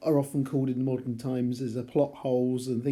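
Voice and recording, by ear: Aloud reading, natural in voice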